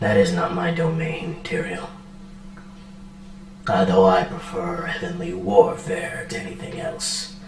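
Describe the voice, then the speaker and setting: A man puts on a character voice, high in pitch and at a fairly slow pace. Clear background noise and a slight echo accompany him. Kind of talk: divine pronouncement. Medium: actual play. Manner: regal, formal.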